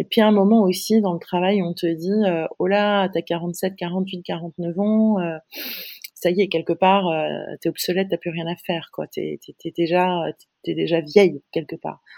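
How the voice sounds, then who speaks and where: A woman's monotone, flat delivery at a very slow pace. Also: fairly low pitch for a woman, dry, close sound with no echo. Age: 50s. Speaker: digital strategy consultant. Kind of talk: interview. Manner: halting.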